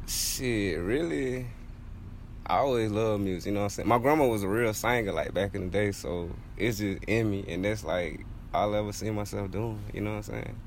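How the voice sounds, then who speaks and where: A man's fairly low voice in an American accent, at a moderate pace with ordinary pitch variation and audible room echo. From South Carolina. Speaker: rapper. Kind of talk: interview. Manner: casual, laid-back.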